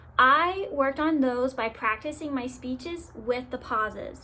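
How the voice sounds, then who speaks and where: A woman's high, raised and projected voice, bright and sharp in tone, at a fairly slow pace with ordinary pitch variation. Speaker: college student. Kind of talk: class assignment video reflection. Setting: self-recorded to camera. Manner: upbeat, excited-sounding.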